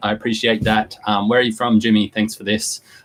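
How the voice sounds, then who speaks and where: A man with an Australian accent speaks in a monotone, flat intonation. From Australia, Newcastle NSW. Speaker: online business host. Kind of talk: live stream talk to viewers. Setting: live online video stream. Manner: casual, halting with fillers.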